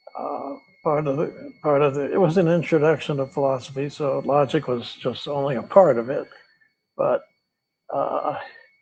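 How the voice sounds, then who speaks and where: Somewhat breathy speech at a moderate pace with fairly even intonation, in an American accent. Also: man. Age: 80s+. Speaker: retired philosophy professor. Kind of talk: interview. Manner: halting.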